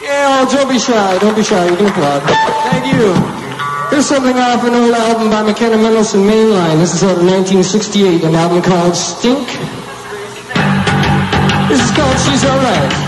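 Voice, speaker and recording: Long, frequent pauses at a moderate pace, with loud music playing in the background. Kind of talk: stage banter between songs. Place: stage. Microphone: old recording.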